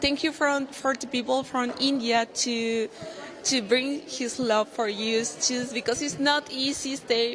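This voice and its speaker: With a Paraguayan accent, the speaker goes at a fairly slow pace over noticeable background noise. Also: woman. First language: Spanish. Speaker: beauty pageant contestant. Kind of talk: interview. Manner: halting non-native English.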